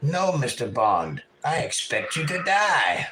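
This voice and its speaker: Putting on a raspy character voice, a man speaks at a fairly slow pace. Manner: menacing, theatrical.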